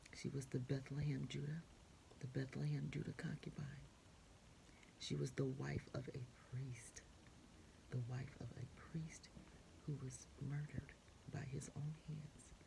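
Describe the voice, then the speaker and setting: A woman's very deep, low voice with vocal fry and a dark, mellow tone, fairly slow and flat in a monotone, broken by long, frequent pauses over noticeable background noise. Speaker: preacher. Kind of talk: sermon-style talk. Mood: earnest, preaching. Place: home room. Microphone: phone near.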